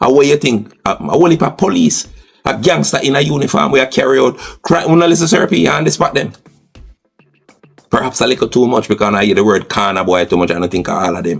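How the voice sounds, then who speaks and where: A man speaks in a passionate, animated tone at a very fast pace, his medium-pitched voice making very wide pitch swings. Music plays in the background. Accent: Jamaican. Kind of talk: podcast commentary.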